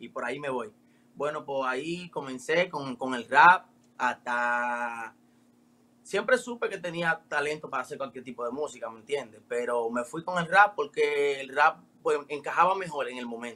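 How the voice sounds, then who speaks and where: A man in a Dominican accent has a bright, sharp tone, and his loudness swings widely. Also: fairly high pitch for a man, ordinary pitch variation, moderate pace. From Dominican Republic. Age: 20s. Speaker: urban music artist. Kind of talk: casual interview.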